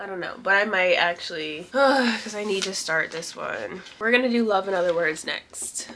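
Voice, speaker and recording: There is noticeable background noise while a woman talks at a moderate pace. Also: medium pitch for a woman, ordinary pitch variation. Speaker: book vlogger. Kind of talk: casual talk to camera.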